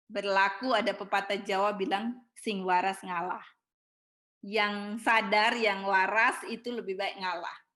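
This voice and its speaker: A woman's bright, sharp voice with fairly even intonation, on a very clean recording with a silent background. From Ambon, eastern Indonesia. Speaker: preacher. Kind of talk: sermon. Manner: high-pitched tone.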